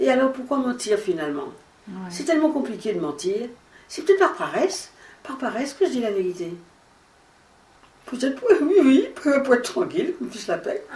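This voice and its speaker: Very wide pitch swings, a moderate pace, long and frequent pauses, and noticeable background noise. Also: woman, high pitch for a woman. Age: 80s+. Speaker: actress and singer. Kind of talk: interview answer. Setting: at home. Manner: conversational, relaxed.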